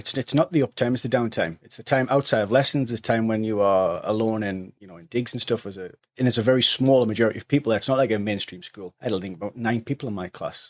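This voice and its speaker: A man at a very fast pace, medium in pitch with ordinary pitch variation, in a dry, close sound with no echo and a very clean recording with a silent background. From northeast England, County Durham. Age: 30s. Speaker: hotel entertainment manager. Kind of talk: podcast interview.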